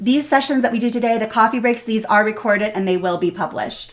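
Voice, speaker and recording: Ordinary pitch variation marks this woman's fairly high-pitched voice. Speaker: product evangelist, webinar host. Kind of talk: live webinar Q&A. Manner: fast.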